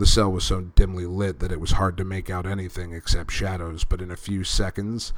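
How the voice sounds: The clip has a natural reading voice. The voice reads a passage out loud.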